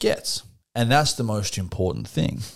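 A man speaks in a normal speaking voice with lively intonation at a fairly quick pace, on a very clean recording with a silent background. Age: 30s. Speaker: podcast co-host. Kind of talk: casual chat.

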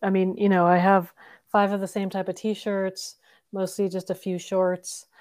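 Recorded very cleanly against a silent background, an ordinary speaking voice proceeds at a moderate pace. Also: woman. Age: 50s. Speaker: spiritual guide. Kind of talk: casual spiritual interview chat.

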